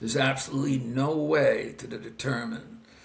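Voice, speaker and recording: There is noticeable background noise and audible room echo as a man speaks at a moderate pace. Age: 60s. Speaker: doctor. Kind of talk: interview. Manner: halting, many fillers.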